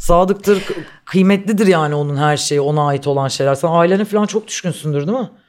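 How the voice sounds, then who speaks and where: This woman's pitch sits fairly low, with ordinary variation. She speaks at a fairly quick pace. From Istanbul, Turkey. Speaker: guest. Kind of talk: casual chat.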